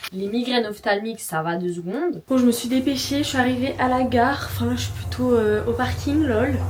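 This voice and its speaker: Noticeable background noise and audible room echo surround a woman speaking at a fairly quick pace. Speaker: lifestyle vlogger. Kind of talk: casual vlog talk to camera.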